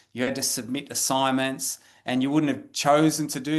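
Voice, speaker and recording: In an Australian accent, a man with a fairly high voice speaks over a quiet background. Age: 50s. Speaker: professor. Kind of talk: lecture. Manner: halting, with many repetitions.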